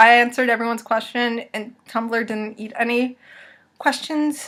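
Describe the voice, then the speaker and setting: High pitch and a moderate pace from a woman. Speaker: YouTuber answering viewer questions. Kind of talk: casual Q&A vlog. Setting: dim room at home. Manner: loud.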